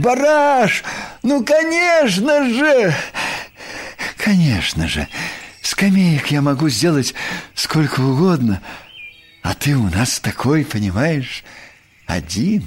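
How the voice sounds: A man uses a put-on character voice, fairly high and with a slightly husky edge. His pitch swings widely as he speaks at a slow pace.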